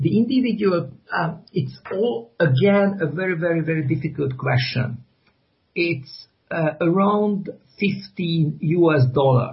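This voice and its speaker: A man's fairly high voice at a very slow pace. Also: lively intonation. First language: Hungarian. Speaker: graphic novel author. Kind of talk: interview. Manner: halting, many repetitions and fillers.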